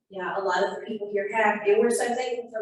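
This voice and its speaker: A woman with an American accent talks at a fairly quick pace with ordinary pitch variation amid audible room echo. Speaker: community coalition coordinator. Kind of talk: community meeting presentation. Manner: fast; animated.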